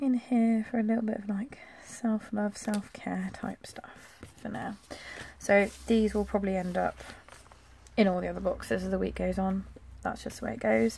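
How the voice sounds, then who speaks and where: A woman mumbles her words. She keeps a moderate pace. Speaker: planner vlogger. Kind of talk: casual plan-with-me tutorial. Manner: mumbling; chatty.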